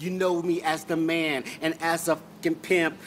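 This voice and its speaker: A man at a fairly slow pace over light background noise. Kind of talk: freestyle rap. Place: street. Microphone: phone near.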